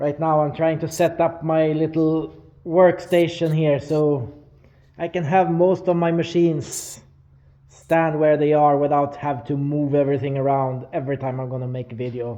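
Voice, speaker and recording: The man's voice is fairly high, with a dark, mellow tone and a Swedish accent. He keeps a moderate pace and fairly even intonation. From Sweden. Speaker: metal fabricator. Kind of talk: tutorial. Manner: hesitant with many fillers.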